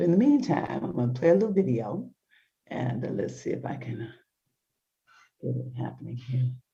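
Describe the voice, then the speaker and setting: Soft-spoken, a woman talks at a fairly quick pace broken by long, frequent pauses. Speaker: talk show host. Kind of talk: casual chat. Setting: video call from home. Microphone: poor internet connection.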